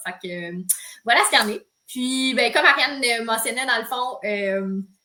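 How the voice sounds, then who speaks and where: The woman has a normal speaking voice. She talks at a moderate pace with ordinary pitch variation. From Quebec, Saint-Hyacinthe area. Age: 30s. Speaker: yoga teacher. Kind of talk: casual chat. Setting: livestream video.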